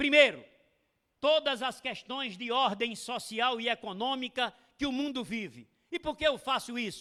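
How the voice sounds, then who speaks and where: A man speaks fairly slowly in a raised, projected voice with an extremely high pitch, a bright, sharp tone and ordinary pitch variation. The recording is very clean, with a silent background. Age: 60s. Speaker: lecturer, veteran teacher. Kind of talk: lecture. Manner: formal.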